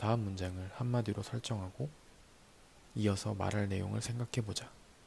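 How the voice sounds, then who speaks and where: Dark, mellow tone, somewhat breathy, with fairly even intonation. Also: man. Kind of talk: ASMR talk reading and explaining notes from a book. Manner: calm, soft-spoken.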